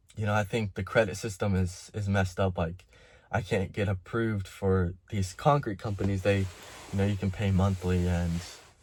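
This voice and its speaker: Fairly low-pitched, somewhat breathy and shaky man's voice at a moderate pace, with fairly even intonation, in a very clean recording with a silent background. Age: 20s. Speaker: concrete contractor. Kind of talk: personal vlog monologue. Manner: halting.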